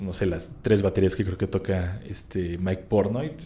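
A man speaks at a very deep, low pitch in a dark, mellow tone. His voice is somewhat breathy, at a moderate pace. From Mexico, Querétaro. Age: 30s. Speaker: drummer. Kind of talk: interview conversation.

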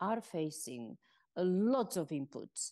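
A woman speaks with a Spanish accent at a medium pitch, her tone dark and mellow. Her pitch swings very widely, and the background is quiet. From Spain. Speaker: former UN communications chief. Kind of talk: interview.

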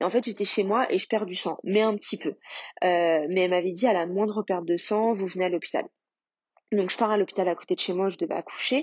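A woman talks at a fairly quick pace and medium pitch. Hers is an unremarkable speaking voice with ordinary pitch variation. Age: 30s. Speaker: mother sharing fertility journey. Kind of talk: testimony.

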